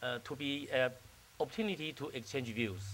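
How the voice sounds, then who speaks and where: A man with a Chinese accent speaks in a bright, sharp tone with lively intonation. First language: Mandarin Chinese. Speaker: diplomat. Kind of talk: keynote speech. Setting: stage with audience. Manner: halting.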